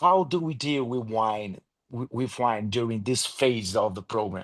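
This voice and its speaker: Against a quiet background, a man with a non-native accent talks at a fairly slow pace, with a medium pitch and ordinary pitch variation. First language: not English. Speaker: program participant. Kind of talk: question in group call. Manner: halting.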